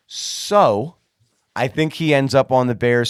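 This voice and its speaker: In a very clean recording with a silent background, a man with a Pittsburgh accent sounds animated, with ordinary pitch variation. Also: dry, close sound with no echo. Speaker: sports podcast host. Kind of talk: casual chat.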